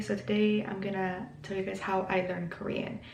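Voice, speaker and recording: Background noise is noticeable throughout. There is also audible room echo. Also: woman. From Mexico. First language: Spanish. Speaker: YouTuber, language learner. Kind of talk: casual vlog tutorial. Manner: casual, hesitant with many fillers.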